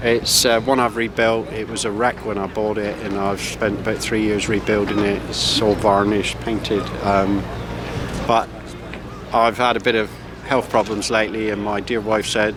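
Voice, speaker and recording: With a West Country accent, the speaker talks at a moderate pace over noticeable background noise. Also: man. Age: 60s. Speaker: retired boat builder. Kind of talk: casual interview. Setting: outdoors at harbour boat rally. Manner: hesitant, many fillers.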